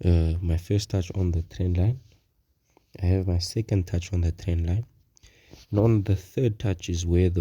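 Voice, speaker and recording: At a fairly slow pace, a man speaks with a very deep, low pitch and a dark, mellow tone, somewhat breathy and fairly even in intonation, on a very clean recording with a silent background. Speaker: forex trader. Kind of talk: tutorial. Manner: casual, halting.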